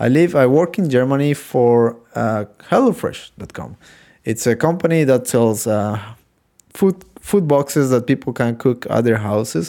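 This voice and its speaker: In a Spanish accent, a man speaks with a medium pitch, a dark, mellow tone and lively intonation on a very clean recording with a silent background. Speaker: software QA engineer and podcast host. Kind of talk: solo podcast monologue. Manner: halting, frequent fillers.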